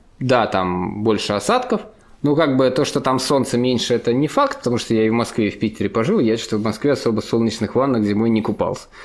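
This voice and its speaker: Using an ordinary speaking voice, a man talks at a fairly quick pace with medium pitch. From Russia, St. Petersburg. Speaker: company CEO, frontend developer and conference organizer. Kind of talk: casual interview.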